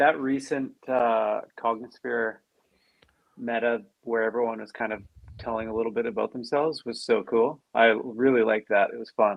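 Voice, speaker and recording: At a moderate pace and medium pitch, a man with a slight Canadian accent speaks in fairly even intonation. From Canada. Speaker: crypto community member. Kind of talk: casual chat.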